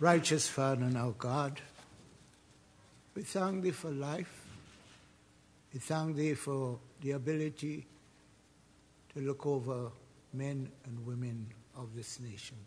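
A somewhat breathy man speaks at a fairly slow pace with long, frequent pauses and ordinary pitch variation over light background noise. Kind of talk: prayer. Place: hall. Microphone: podium.

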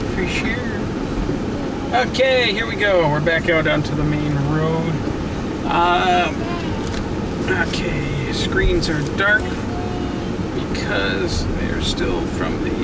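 Amid loud background noise, the speech moves at a very slow pace with long, frequent pauses. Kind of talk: casual driving commentary. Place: car.

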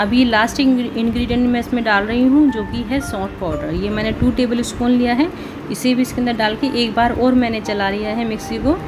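Over music in the background, a woman talks at a moderate pace with hardly any pauses and fairly even intonation. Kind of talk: tutorial. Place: kitchen.

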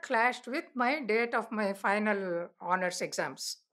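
A woman with an Indian accent over a quiet background. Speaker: elder telling life story. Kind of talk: elder life story, reminiscing oral-history narration. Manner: relaxed, conversational storytelling, warm and anecdotal. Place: home room.

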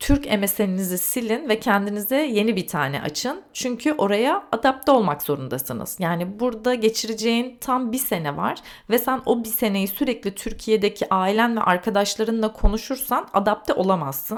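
In a very clean recording with a silent background, a woman with a normal speaking voice talks at a fairly high pitch and a moderate pace, with lively intonation and hardly any pauses. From Turkey. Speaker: podcast host. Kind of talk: solo storytelling monologue.

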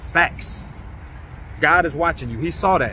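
A man speaks in an animated tone, the sound dry with no echo and light background noise behind him. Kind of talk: sermon-style exhortation to online congregation. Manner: animated, rallying, high-energy call-and-response; emphatic, repetitive, urging. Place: open country. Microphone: phone near.

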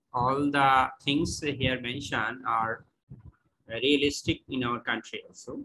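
A man with a Bengali accent speaks at a fairly slow pace with fairly even intonation. His tone is bright and sharp, with light background noise. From Bangladesh. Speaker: course participant. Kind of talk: Q&A question. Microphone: video call.

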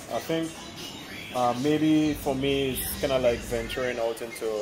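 Noticeable background noise behind a man at a moderate pace. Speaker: personal trainer. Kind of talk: interview answer. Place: street.

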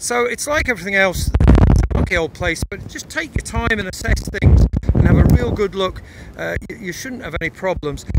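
Loud background noise surrounds a man speaking at a moderate pace, his voice dry with no echo. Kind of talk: casual explanatory commentary. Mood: relaxed, good-humoured. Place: forest. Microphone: phone near.

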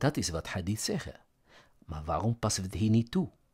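With a somewhat breathy, fairly low voice, a man uses lively intonation in a dry, close recording with no echo. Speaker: religious commentary YouTuber. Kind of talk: lecture-style monologue. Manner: hesitant with fillers.

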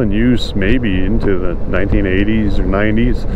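A man's voice comes through with a dry sound and no echo, over noticeable background noise. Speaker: motorcycle vlogger. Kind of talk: casual vlog chat. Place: motorbike. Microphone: helmet.

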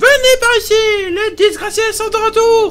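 A put-on character voice shouts in a shrill, extremely high pitch at a moderate pace over clear background noise. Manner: shouting.

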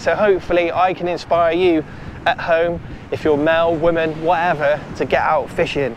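A man with a fairly high pitch talks at a moderate pace with little pitch movement over faint background noise.

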